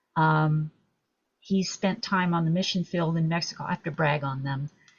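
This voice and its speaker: A woman speaks fairly slowly in a somewhat breathy voice. Her pitch is fairly low and her intonation fairly even. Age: 70s. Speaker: author. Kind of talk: interview.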